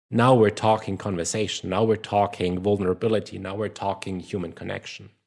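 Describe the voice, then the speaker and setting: Fairly low in pitch and monotone, flat in intonation, a man talks at a fairly quick pace on a very clean recording with a silent background. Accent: German. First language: German. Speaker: social skills coach. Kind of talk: casual podcast discussion.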